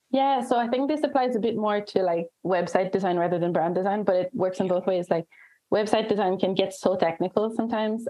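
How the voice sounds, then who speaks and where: Speaking fairly quickly at a medium pitch, a woman uses an ordinary speaking voice with ordinary pitch variation. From Canada. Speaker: brand and website designer. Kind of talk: casual interview chat.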